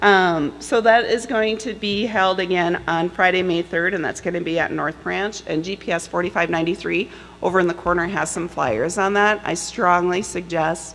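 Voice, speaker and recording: A woman with vocal fry and a fairly low pitch talks at a moderate pace with ordinary pitch variation and hardly any pauses. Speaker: workforce services coordinator. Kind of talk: conference panel presentation.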